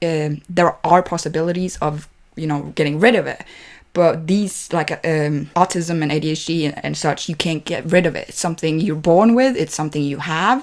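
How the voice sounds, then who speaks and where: A woman's fairly low voice with a non-native accent, ordinary pitch variation and a moderate pace, on a very clean recording with a silent background. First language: not English. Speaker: movie reaction youtuber. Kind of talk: casual reaction commentary. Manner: halting, many fillers and restarts.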